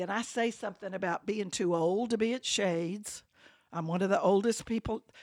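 Recorded with a dry, close sound and no echo, a woman speaks in an Alabama accent. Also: very clean recording, silent background. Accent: US Southern (Alabama). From Birmingham, Alabama. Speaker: church member. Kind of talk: interview.

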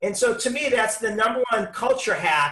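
A man's raised, projected voice, bright and sharp in tone, with lively intonation at a fairly slow pace. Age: 50s. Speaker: customer service consultant and keynote speaker. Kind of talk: casual interview. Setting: video call.

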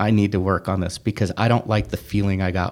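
A man talks in a monotone with flat intonation and a fairly low pitch. The recording is very clean, with a silent background. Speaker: Toastmasters club member. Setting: library interview. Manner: fast talker.

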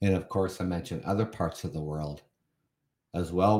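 A man with a Canadian accent speaks at a moderate pace and a very deep, low pitch with fairly even intonation. The recording is very clean, with a silent background. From Canada. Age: 50s. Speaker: podcast host. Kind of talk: solo podcast monologue reading and commenting on an article. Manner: casual with many fillers and repetitions.

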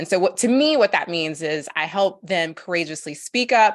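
Here is a plain, everyday voice: a woman at medium pitch speaking at a moderate pace. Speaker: speaker and courage coach. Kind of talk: interview conversation.

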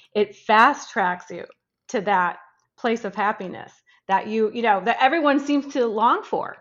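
A woman with an American accent has a normal speaking voice, fairly high in pitch. She speaks at a fairly slow pace with ordinary pitch variation. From US Midwest. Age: 50s. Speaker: life reinvention coach. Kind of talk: interview.

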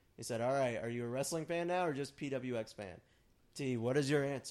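A man speaks at a moderate pace in a plain, everyday voice. The recording is very clean, with a silent background. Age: 30s. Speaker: wrestling podcast host. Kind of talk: casual chat.

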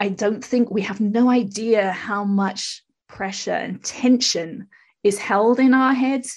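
Against a quiet background, a woman speaks at a medium pitch in a somewhat breathy voice with ordinary pitch variation. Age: 50s. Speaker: spiritual teacher and public speaker. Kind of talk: casual interview. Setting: remote recording from her own studio.

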